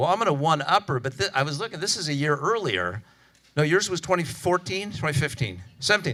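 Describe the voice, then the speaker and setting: A man talks at a very fast pace in an American accent, his fairly high pitch making very wide swings. There is vocal fry in his voice. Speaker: physician lecturer. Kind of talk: conference lecture. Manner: casual, animated.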